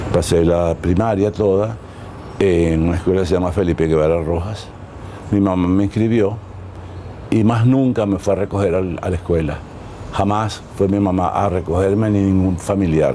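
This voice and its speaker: A man's very deep, low voice at a moderate pace, with fairly even intonation, very even loudness and long, frequent pauses, in audible room echo with noticeable background noise. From Venezuela. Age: 80s+. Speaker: dancer and choreographer. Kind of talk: interview. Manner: halting.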